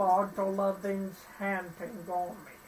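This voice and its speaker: Light background noise sits under the recording. A woman speaks at a very slow pace. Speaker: gaming YouTuber. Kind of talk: let's play commentary. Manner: halting, with filler words. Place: home room. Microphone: phone near.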